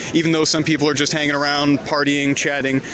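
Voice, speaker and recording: A man's fairly high voice in a monotone, flat delivery, over noticeable background noise. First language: French. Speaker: journalist. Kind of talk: live stream reporting. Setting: outdoors. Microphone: phone mic.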